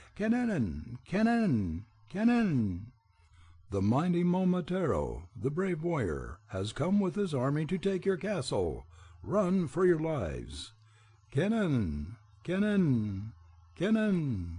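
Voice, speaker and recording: A man does a shrill put-on character voice at a fairly high pitch with very wide pitch swings. He goes at a fairly slow pace over a quiet background. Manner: screaming, loud.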